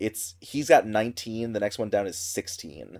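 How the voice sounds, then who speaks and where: Speaking fairly slowly, a man uses an unremarkable speaking voice. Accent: American. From US Midwest. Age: 30s. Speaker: theater director and trivia host. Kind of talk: casual chat. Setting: remote recording from home.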